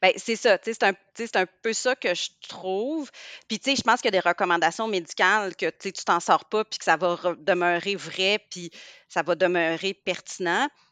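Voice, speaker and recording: Dry and close with no echo over a quiet background, a woman in a Quebec accent speaks fairly slowly at a medium pitch, her tone bright and sharp, her pitch variation ordinary. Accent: Québécois French. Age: 40s. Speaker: pediatrician. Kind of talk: casual interview.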